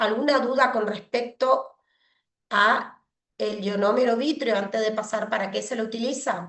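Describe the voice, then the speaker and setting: At a fairly slow pace, a woman talks in a plain, everyday voice, fairly high in pitch with fairly even intonation. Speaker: pediatric dentist lecturer. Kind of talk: online lecture. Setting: video call with screen sharing.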